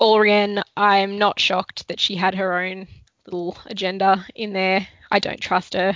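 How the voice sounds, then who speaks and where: Her intonation is monotone and flat as a woman speaks at a medium pitch. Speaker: podcast co-host. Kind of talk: casual chat.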